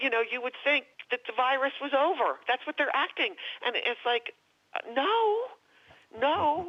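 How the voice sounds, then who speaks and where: A woman with an American accent and a high pitch, moderate in pace, with lively intonation and long, frequent pauses. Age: 70s. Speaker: author and actress. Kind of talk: radio interview. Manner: animated.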